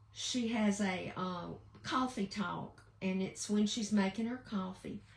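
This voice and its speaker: With a Southern US accent, a woman at medium pitch talks at a very slow pace and fairly even intonation. Noticeable background noise runs underneath. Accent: Southern American. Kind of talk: casual livestream talk to viewers. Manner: warm, chatty.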